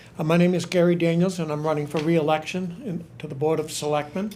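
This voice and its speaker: A man with an American accent speaks at a very fast pace in a dark, mellow tone with flat, monotone intonation. Audible room echo colors the recording. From New Hampshire, US. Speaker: local politician. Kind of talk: candidate forum speech.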